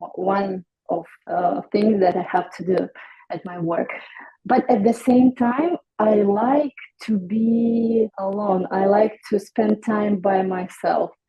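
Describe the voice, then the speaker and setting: A woman speaks very slowly at medium pitch with a non-native accent. Her voice is somewhat breathy, and her pitch varies in an ordinary way. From Ukraine. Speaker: hairstylist. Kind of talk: interview. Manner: halting.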